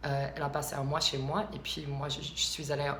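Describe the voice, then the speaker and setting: Spoken in an American accent at a moderate pace, the clip carries noticeable background noise and audible room echo. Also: woman. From US South, Alabama. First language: English (speaking French). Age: 20s. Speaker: vlogger. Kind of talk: casual vlog monologue. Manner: halting, many hesitations.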